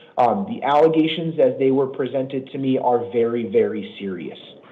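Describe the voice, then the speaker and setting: A man at a fairly quick pace with lively intonation, with audible room echo and noticeable background noise. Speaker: judge. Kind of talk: court hearing. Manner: fast.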